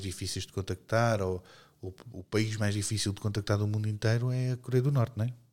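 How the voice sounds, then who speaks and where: A European Portuguese accent at a moderate pace, fairly even in intonation, on a very clean recording with a silent background. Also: man. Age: 40s. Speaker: podcast co-host. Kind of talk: casual chat.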